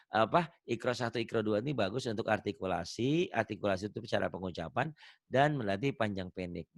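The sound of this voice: A man in a strong Javanese accent, medium-pitched, with lively intonation and a very fast pace, on a very clean recording against a silent background. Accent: thick Javanese.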